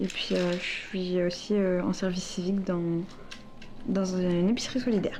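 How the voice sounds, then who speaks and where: At a moderate pace, a woman speaks at a medium pitch with fairly even intonation and very even loudness, with audible room echo around her. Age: 20s. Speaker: student and young mother. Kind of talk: interview testimony. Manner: hesitant, many fillers.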